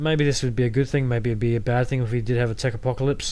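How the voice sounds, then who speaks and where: A man speaks with an Australian accent. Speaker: podcast host. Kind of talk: solo podcast monologue. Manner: casual, halting with repetitions.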